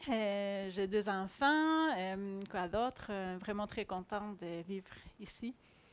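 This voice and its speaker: At a very slow pace, a woman with a medium pitch speaks with ordinary pitch variation on a very clean recording with a silent background. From Chile, Santiago. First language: Spanish (speaking French). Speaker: agile coach. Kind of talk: conference talk.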